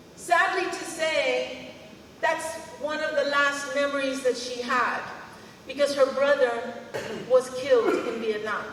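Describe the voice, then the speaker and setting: A woman with a high pitch speaks with ordinary pitch variation and long, frequent pauses. Noticeable background noise and audible room echo come through. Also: fairly slow pace. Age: 60s. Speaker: school superintendent. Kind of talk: ceremony speech. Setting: podium at outdoor ceremony with audience.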